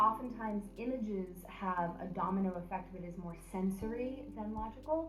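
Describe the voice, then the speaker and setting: Over noticeable background noise, a woman talks with hardly any pauses, ordinary pitch variation and big swings in loudness. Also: medium pitch for a woman, moderate pace. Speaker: Shakespeare director and acting coach. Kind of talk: instructional talk to camera. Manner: clear, articulate, explanatory.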